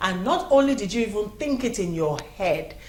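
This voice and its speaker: In a Nigerian accent, a woman speaks with ordinary pitch variation over noticeable background noise and audible room echo. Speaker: news show host. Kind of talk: news commentary.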